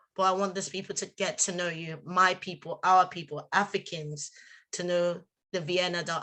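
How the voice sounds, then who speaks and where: In a Nigerian accent, a woman with a fairly low pitch and a bright, sharp tone speaks at a moderate pace in a monotone, flat intonation. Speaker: community event presenter. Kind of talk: live event introduction.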